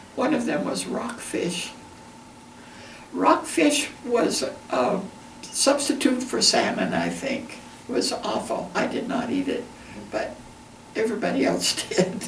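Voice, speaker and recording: A woman with an American accent speaks very slowly, with long, frequent pauses, over noticeable background noise. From Entiat, Washington. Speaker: retired teacher. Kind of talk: oral history interview answer.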